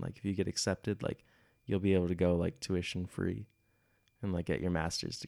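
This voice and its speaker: A man's very deep, low voice with a Midwestern US accent, very fast pace and fairly even intonation, dry and close with no echo, on a very clean recording with a silent background. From US Midwest. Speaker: podcast host, exchange student. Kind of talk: casual chat.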